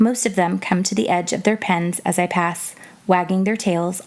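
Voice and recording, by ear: The text is read aloud in a natural voice. Pitch holds fairly even.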